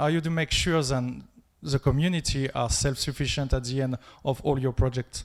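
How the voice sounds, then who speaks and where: On a very clean recording with a silent background, a man with a French accent speaks at a moderate pace in a fairly high pitch with fairly even intonation. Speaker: audience member asking a question. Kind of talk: audience question.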